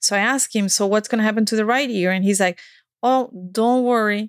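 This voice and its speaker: The speaker has a Spanish accent and talks at a moderate pace with ordinary pitch variation. The recording is very clean, with a silent background and a dry, close sound with no echo. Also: woman. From Spain. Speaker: dance coach and speaker. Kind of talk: casual interview chat. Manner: halting, many fillers.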